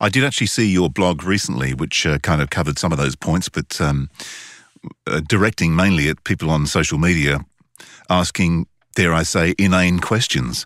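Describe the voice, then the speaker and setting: At a moderate pace, a man speaks with vocal fry and a very deep, low pitch. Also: ordinary pitch variation, dry, close sound with no echo. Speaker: voice actor and podcast host. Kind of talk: casual chat.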